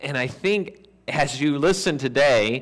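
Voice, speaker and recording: A man with a normal speaking voice talks at a fairly high pitch with lively intonation. The background is quiet. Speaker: pastor. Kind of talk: sermon. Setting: church. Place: church.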